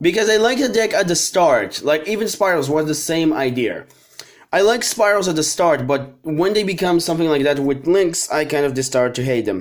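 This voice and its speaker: A man mumbles in a put-on character voice at a fairly high pitch. His pace is moderate and his intonation lively. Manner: mumbling.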